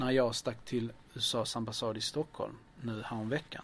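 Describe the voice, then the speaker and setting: A plain, everyday voice from a man with a medium pitch at a moderate pace. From southern Sweden, Lund. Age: 40s. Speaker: community organizer. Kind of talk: interview.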